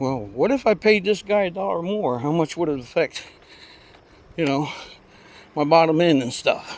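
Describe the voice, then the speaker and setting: A man at a fairly slow pace, high-pitched, with very wide pitch swings. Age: 70s. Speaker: vlogger riding exercise trike. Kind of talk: casual monologue while riding.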